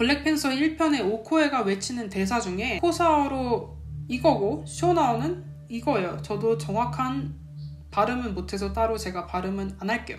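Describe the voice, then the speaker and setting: With music in the background and audible room echo, a woman speaks at a moderate pace. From Korea. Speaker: YouTuber living abroad. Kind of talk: casual explainer video. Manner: casual, conversational.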